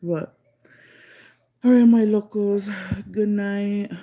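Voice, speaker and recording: A woman at a very slow pace. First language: Spanish. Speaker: paranormal storyteller streamer. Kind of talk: casual live-stream storytelling. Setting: live stream from her room.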